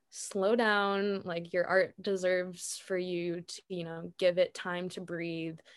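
Against a quiet background, a woman with an ordinary speaking voice talks at a fairly slow pace, medium in pitch and fairly even in intonation. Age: 20s. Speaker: freelance video editor. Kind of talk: casual interview.

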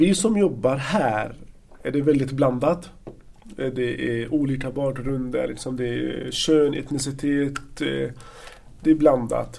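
A man's fairly high voice with an Arabic accent, very slow pace, ordinary pitch variation, long and frequent pauses, noticeable background noise and audible room echo. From Palestine, Gaza Strip. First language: Arabic (speaking Swedish). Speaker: social worker. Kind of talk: interview. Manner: halting.

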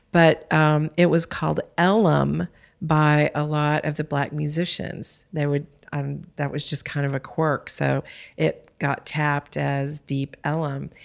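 In a Texan accent, a woman speaks very slowly with a very deep, low pitch and fairly even intonation on a very clean recording with a silent background. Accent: Texan American. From Texas. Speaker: art philanthropy board president. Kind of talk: interview conversation. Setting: studio.

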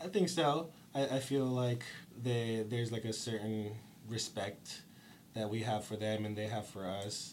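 Audible room echo surrounds a man with an American accent as he speaks at a fairly slow pace and medium pitch, with ordinary pitch variation. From Stockton, California. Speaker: punk band musician. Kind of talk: casual interview.

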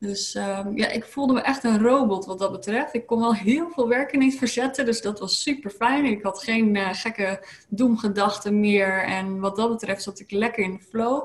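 A woman talks at a moderate pace with hardly any pauses. Her voice is fairly high, with ordinary pitch variation. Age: 30s. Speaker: lifestyle coach. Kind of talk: interview. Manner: hesitant, many filler sounds.

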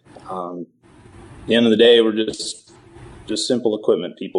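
A man with an Upper Midwest accent, at a moderate pace. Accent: Upper Midwest American. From southeast North Dakota. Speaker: farm equipment dealership sales manager. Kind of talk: casual interview.

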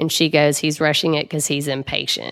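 In a Southern US accent, a woman speaks at a fairly quick pace with a very deep, low pitch and fairly even intonation. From Mississippi, Jackson. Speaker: cancer survivor. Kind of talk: interview testimony. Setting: studio.

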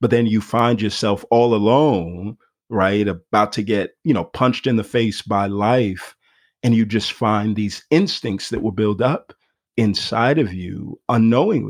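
A man with a normal speaking voice talks at a fairly slow pace, using ordinary pitch variation. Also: fairly low pitch for a man. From US, Nigerian immigrant family. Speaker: pastor. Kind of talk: casual interview.

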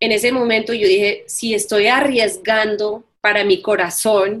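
Her pitch sits fairly high. The woman has an English accent. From New York. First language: English (speaking Spanish). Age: 40s. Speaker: entrepreneur and life coach. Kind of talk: interview.

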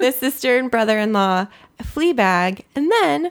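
Soft-spoken and at a moderate pace, a woman with an American accent is heard in a very clean recording with a silent background. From US West Coast (Southern California). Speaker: podcast co-host. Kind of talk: casual chat reviewing TV.

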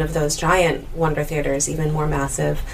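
Noticeable noise is present behind the speaker. The voice belongs to a woman. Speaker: festival poster model and singer. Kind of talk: casual interview. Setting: recorded in a theater mezzanine with background noise.

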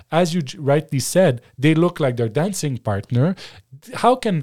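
At a moderate pace, a man speaks with lively intonation and a French accent. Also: dry, close sound with no echo. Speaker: former political advisor and media analyst. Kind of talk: casual interview. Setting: studio.

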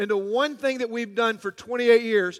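A man with a Southern US accent at a high pitch, moderate pace and fairly even intonation, in a dry, close sound with no echo. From US South, Georgia. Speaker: pastor. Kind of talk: sermon.

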